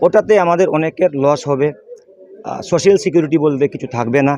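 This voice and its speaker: A man with a fairly high pitch and ordinary pitch variation, over noticeable background noise. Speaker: non-teaching university staff member at protest. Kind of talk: interview.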